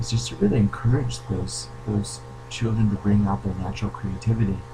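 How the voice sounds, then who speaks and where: A soft-spoken man talks in a fairly low pitch with very wide pitch swings. Audible room echo and noticeable background noise surround him. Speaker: creativity coach. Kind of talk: video Q&A monologue. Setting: at home. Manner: hesitant with fillers.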